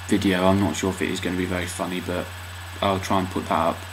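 Noticeable background noise sits behind this man's very deep, low voice. He speaks in a monotone, flat intonation. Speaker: vlogger. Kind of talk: casual vlog talk to camera. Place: home room. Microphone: webcam.

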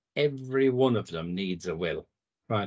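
Lively intonation marks this moderate-paced delivery in a British accent, set against a quiet background. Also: man. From UK. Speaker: legal firm founder. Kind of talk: presentation. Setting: video call. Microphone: video call.

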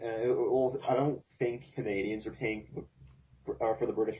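A man speaks with a somewhat breathy voice. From Canada. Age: 20s. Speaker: podcast host. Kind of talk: casual chat.

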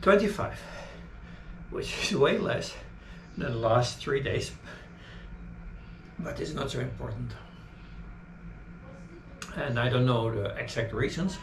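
A man talks at a fairly slow pace with long, frequent pauses. Noticeable background noise runs underneath. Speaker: fitness vlogger. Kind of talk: casual vlog chat. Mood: calm, reflective. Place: home room. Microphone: camera far.

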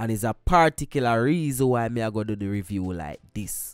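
A medium-pitched man with a Jamaican accent sounds animated, with lively intonation at a moderate pace. The recording is very clean with a silent background and a dry, close sound with no echo. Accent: Jamaican Patois. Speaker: music reviewer, YouTuber. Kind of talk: music review vlog.

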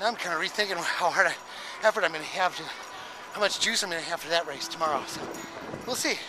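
Speech races along at a very fast clip with lively, bouncing intonation. The sound is dry with no echo, and there is noticeable background noise. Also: man. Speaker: runner vlogger. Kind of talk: casual vlog chat. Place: open country. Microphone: phone near.

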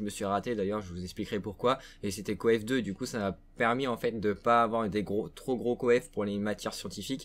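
A male speaker, moderately paced, his pitch varying in an ordinary way. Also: hardly any pauses. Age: young. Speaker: gaming YouTuber. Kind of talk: casual vlog to viewers. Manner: hesitant, many fillers. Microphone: webcam.

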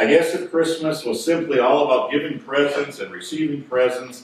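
A man talks at a moderate pace in a space with strong room echo. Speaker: pastor. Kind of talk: sermon. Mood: lightly humorous. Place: church.

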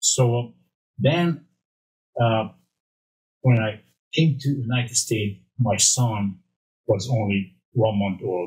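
A man with a Hungarian accent, medium in pitch and somewhat breathy, at a very slow pace with long, frequent pauses, ordinary pitch variation, and a quiet background. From Romania. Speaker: former bodybuilding champion and supplement developer. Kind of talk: casual interview. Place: studio. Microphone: studio mic.

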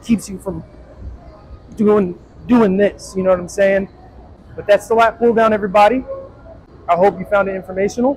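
With light background noise behind him, a man talks at a fairly quick pace in a high pitch, his intonation fairly even. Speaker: personal trainer. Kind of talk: tutorial. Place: gym. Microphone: lapel.

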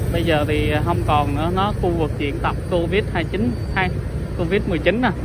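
The recording sounds dry with no echo, though loud background noise runs underneath. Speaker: travel vlogger. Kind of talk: casual vlog commentary. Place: motorbike.

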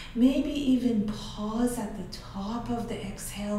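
A woman at a very slow pace, with audible room echo and light background noise. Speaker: yoga instructor. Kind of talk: guided meditation. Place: home room.

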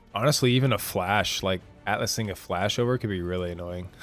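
Music plays behind a man with a very deep, low pitch who talks at a fairly quick pace with fairly even intonation. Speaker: game commentator. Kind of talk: live commentary. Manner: casual, hesitant with fillers.

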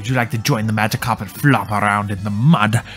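A man puts on a robotic character voice, fairly low in pitch, and talks at a very fast pace. Clear music plays in the background. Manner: calm.

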